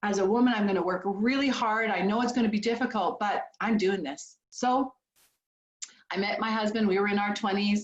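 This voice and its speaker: This somewhat breathy voice with a Canadian accent moves at a fairly quick pace with ordinary pitch variation. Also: woman, fairly high pitch for a woman. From Canada, small town. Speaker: business founder. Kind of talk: motivational speech. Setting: video call.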